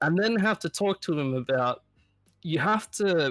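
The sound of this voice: With lively intonation, a man speaks at a moderate pace. His voice is nasal and fairly bright in tone.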